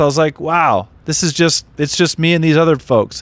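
A man with an American accent speaks at a fairly quick pace. He has an ordinary speaking voice, fairly high in pitch. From Southern California, Redondo Beach. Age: 30s. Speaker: comedian. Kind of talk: casual chat.

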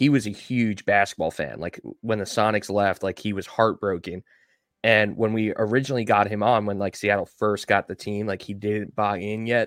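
Speaking at a moderate pace with an American accent, a man has an unremarkable speaking voice, fairly low pitch and fairly even intonation, recorded with a dry, close sound, no echo and a quiet background. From Long Island, New York. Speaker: podcast host. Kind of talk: casual chat.

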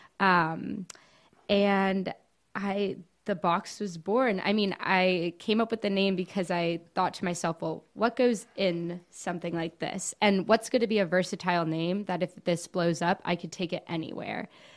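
A woman uses an ordinary speaking voice at a medium pitch and a fairly slow pace, with fairly even intonation. The recording is very clean, with a silent background. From Miami, Florida (Cuban family). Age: 20s. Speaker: small business owner, baker and college student. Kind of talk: casual interview chat.

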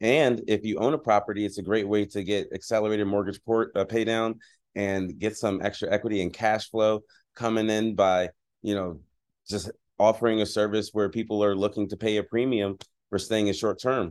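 Against a quiet background, a man with a plain, everyday voice and an American accent talks at a fairly quick pace, fairly low in pitch and fairly even in intonation. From Philadelphia, Pennsylvania. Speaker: real estate investor and speaker. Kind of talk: interview.

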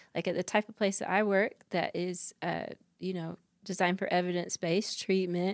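In an American accent, a woman speaks at a fairly quick pace and medium pitch, her intonation monotone and flat. The sound is dry and close with no echo, on a very clean recording with a silent background. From North Carolina. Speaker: psychologist. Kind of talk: interview.

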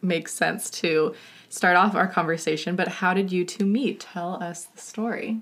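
A woman with a plain, everyday voice, medium in pitch, ordinary pitch variation, moderate pace. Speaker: podcast host. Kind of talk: casual interview chat.

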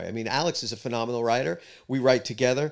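A man talks with a New York accent at a medium pitch. The recording is very clean, with a silent background. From New York, Queens. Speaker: rock musician. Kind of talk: casual interview chat. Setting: studio.

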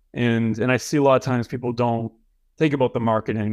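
A man talks at a fairly quick pace with an American accent, in a normal speaking voice. His pitch is medium, and the background is quiet. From Boston, Massachusetts. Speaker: film producer and director. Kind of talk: interview.

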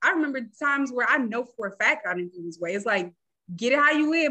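Bright, sharp and high-pitched, a woman's raised, projected voice comes at a fairly quick pace. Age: 30s. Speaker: mental health therapist. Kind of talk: interview.

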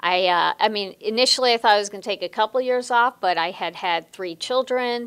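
A woman with an American accent talks at a fairly quick pace, hardly pausing, in an unremarkable speaking voice. Her pitch is fairly high with ordinary variation, and the sound is dry and close with no echo. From US Midwest, Chicago. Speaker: sports executive. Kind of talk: interview.

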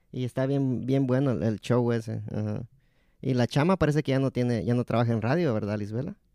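This man talks at a fairly quick pace in a medium pitch with ordinary pitch variation. His tone is dark and mellow. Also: dry, close sound with no echo. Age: 30s. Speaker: podcast host. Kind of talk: casual chat.

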